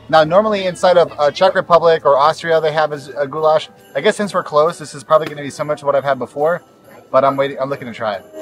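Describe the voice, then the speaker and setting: A man talks at a very fast pace with ordinary pitch variation and big swings in loudness. The sound is dry with no echo, and faint music plays in the background. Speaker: travel vlogger. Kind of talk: casual vlog chat. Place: market. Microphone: phone near.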